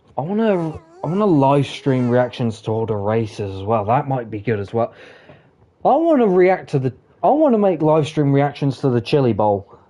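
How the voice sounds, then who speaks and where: Through noticeable background noise, a man of medium pitch speaks at a moderate pace, his pitch swinging very widely. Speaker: gaming streamer. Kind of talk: casual live stream chat.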